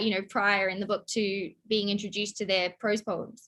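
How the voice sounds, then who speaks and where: With an Australian accent, the speaker talks at a fairly quick pace in a bright, sharp tone. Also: woman. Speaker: poet and scholar interviewing. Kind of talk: casual interview.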